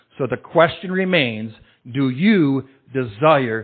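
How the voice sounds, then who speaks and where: In a passionate tone, a man at medium pitch speaks very slowly with lively intonation. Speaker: pastor. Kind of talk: sermon. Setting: church.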